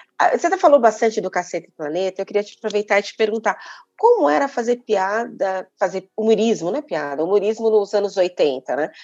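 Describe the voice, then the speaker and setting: An unremarkable speaking voice at a fairly quick pace, with lively intonation and big swings in loudness. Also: woman, medium pitch for a woman. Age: 50s. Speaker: podcast host. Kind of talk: interview; scripted intro.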